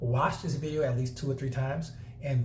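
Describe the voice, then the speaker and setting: A man at medium pitch speaks at a fairly quick pace with fairly even intonation, and the room echo is audible. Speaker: network marketing trainer. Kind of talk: tutorial. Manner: fast.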